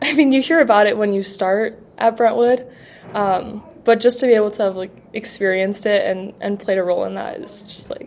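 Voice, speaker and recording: Amid noticeable background noise, a woman talks at a fairly quick pace and fairly high pitch, with ordinary pitch variation and big swings in loudness. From Canada, Quebec and British Columbia. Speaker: college rower. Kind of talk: casual interview.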